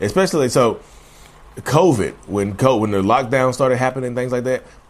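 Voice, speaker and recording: A man talks in a Southern US accent. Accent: Southern US drawl. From North Carolina. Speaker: mental health podcaster. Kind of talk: casual monologue. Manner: fast talker.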